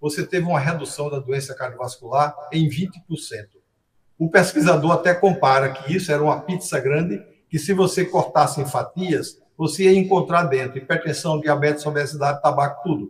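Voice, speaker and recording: A man's fairly high voice, somewhat breathy, moves at a moderate speed with ordinary pitch variation. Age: 70s. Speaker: cardiologist. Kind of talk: interview.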